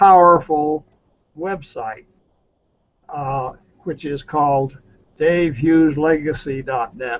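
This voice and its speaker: A man with an American accent speaks at a fairly high pitch with ordinary pitch variation. His loudness swings widely, and he takes long, frequent pauses. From US West. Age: 80s+. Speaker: retired army officer and internet pioneer. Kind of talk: interview. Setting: video call. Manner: halting.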